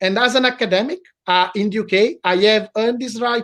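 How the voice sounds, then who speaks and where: Speaking at a fairly quick pace with an Italian accent, a man uses a high pitch and ordinary pitch variation. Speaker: law professor. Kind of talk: interview. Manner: halting.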